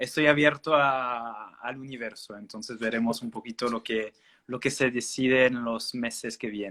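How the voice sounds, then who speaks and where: Over a very clean recording with a silent background, a man with a French accent talks fairly slowly at a medium pitch, his tone bright and sharp, his intonation fairly even and his loudness swinging widely. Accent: French-speaking accent in Spanish. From Belgium. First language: French (speaking Spanish). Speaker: naturopath. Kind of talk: interview. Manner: halting, many fillers.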